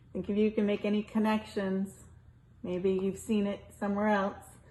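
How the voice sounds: Someone reads in a natural reading voice.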